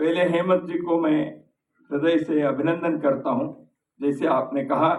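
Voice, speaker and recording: This man's fairly high voice holds very even loudness and fairly even intonation. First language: Kannada (speaking Hindi). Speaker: speaker at a book launch. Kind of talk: formal speech. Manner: formal.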